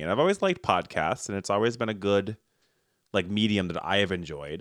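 A man's fairly low-pitched voice, an ordinary speaking voice, with a dry, close sound and no echo, very clean with a silent background. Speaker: podcast host. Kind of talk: comedic banter, skit-based casual chat.

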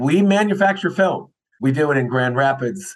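A man with a normal speaking voice talks with lively intonation. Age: 60s. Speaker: film industry association chair. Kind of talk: interview. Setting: remote recording.

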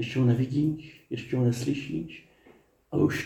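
Somewhat breathy and warm, a man's voice has a dark, mellow tone and medium pitch, moving at a fairly slow pace with ordinary pitch variation. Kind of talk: sermon. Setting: outdoor garden chapel. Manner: warm, humorous.

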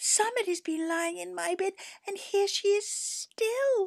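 A woman uses a put-on character voice. It sits at an extremely high pitch. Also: fairly slow pace. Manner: complaining, surprised.

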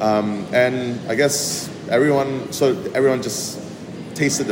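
A man talks with ordinary pitch variation. Room echo is audible, and background noise is noticeable. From Malaysian Borneo. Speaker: chef. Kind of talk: casual interview.

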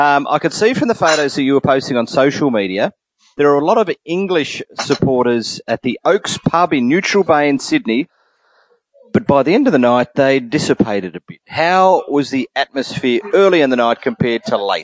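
A man with an Australian accent speaks in a fairly high pitch, recorded with a dry, close sound and no echo. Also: lively intonation, moderate pace. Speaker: sports podcast host. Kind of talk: casual chat. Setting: remote call.

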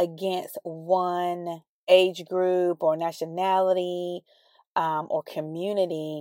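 On a very clean recording with a silent background, a woman speaks at a very slow pace. Her pitch is fairly low and her intonation monotone and flat. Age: 40s. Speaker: podcast host. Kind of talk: casual chat. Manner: hesitant, many fillers.

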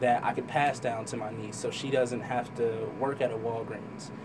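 A man with an American accent talks in a space with audible room echo. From Trenton, New Jersey. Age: young. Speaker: artist. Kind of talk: interview. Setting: studio.

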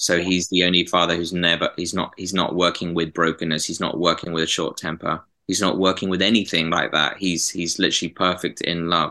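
With a southern English accent, a man speaks at a fairly quick pace with hardly any pauses, in a very deep, low pitch and a bright, sharp tone. His intonation is monotone and flat against a quiet background. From southern England. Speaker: graphic designer and prayer ministry leader. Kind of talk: interview.

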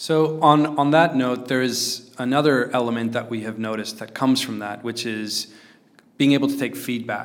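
With fairly even intonation, an ordinary speaking voice moves along at a moderate pace. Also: man, medium pitch for a man. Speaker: podcast host, investor. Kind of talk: casual improvised podcast chat.

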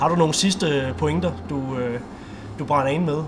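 A man's fairly high voice at a moderate pace, with audible room echo and music in the background. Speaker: sports podcast host. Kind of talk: interview; scripted outro.

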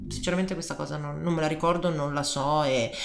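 A woman's fairly low pitch with ordinary pitch variation, amid noticeable background noise and audible room echo. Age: 30s. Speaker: life coach. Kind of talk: personal testimony.

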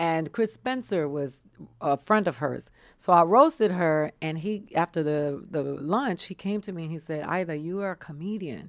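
In a normal speaking voice, a woman talks at a moderate pace with lively intonation and a fairly low pitch, recorded very cleanly against a silent background. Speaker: comedian. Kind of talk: casual chat. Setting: studio.

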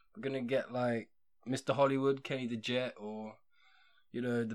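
A man with an English accent at a moderate pace, on a very clean recording with a silent background. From England. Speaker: podcast host. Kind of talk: casual chat. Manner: casual.

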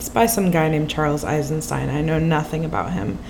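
Over noticeable background noise and audible room echo, a woman speaks in a very deep, low pitch with fairly even intonation. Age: 20s. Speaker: translator. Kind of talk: casual chat.

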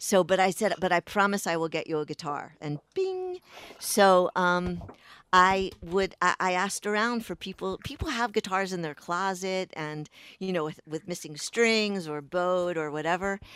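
In an American accent, a woman with an ordinary speaking voice talks at a moderate pace and medium pitch, with ordinary pitch variation and a dry, close sound with no echo. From Baltimore, Maryland (Pikesville). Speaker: singer-songwriter. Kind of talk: interview.

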